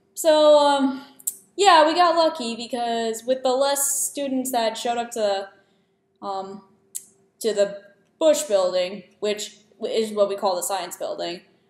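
A woman's high voice at a fairly slow pace, with long, frequent pauses and audible room echo. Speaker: student vlogger. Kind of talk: casual vlog chat. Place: home room. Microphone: webcam.

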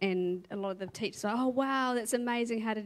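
Only a woman's voice comes through, the background around her quiet. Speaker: church member, mother. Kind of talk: testimony. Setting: church stage. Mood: reflective, warm, earnest. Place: stage. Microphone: handheld.

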